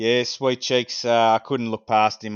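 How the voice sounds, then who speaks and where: A man talks very fast with an Australian accent. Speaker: amateur baseball coach. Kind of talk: casual podcast chat.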